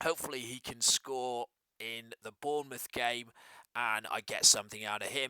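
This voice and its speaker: In an English accent, the speaker goes at a fairly slow pace with long, frequent pauses, big swings in loudness, ordinary pitch variation, and a bright, sharp tone in a dry, close sound with no echo. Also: man. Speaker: fantasy football YouTuber. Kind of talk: casual vlog commentary. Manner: hesitant, many fillers.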